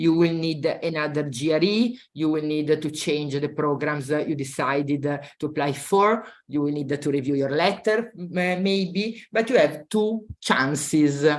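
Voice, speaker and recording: A woman with an Italian accent, a very deep, low pitch, ordinary pitch variation and a fairly slow pace. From Italy. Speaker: university admissions representative. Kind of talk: webinar presentation. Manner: halting, many fillers.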